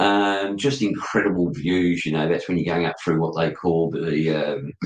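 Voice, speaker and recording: A man with a very deep, low pitch talks at a moderate pace, with ordinary pitch variation and very even loudness. Audible room echo surrounds his voice. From Australia. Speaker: motorcycle podcast host. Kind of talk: casual chat. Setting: live video stream. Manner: animated.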